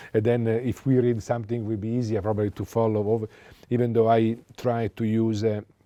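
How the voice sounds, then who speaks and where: A man speaks at a very fast pace with an Italian accent. His medium-pitched voice has a dark, mellow tone and monotone, flat intonation. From Italy. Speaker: economist. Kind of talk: lecture. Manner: halting.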